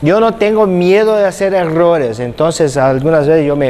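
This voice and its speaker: A man with a Brazilian accent talks at a moderate pace and a fairly high pitch. Audible room echo and noticeable background noise fill the recording. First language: Portuguese (speaking Spanish). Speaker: physiotherapy instructor. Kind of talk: lecture.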